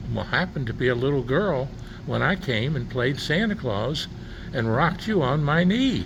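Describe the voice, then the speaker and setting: There is audible room echo and noticeable background noise as a man with a fairly high pitch speaks at a moderate pace with lively intonation. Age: 80s+. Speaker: interviewer. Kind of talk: casual chat. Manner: halting.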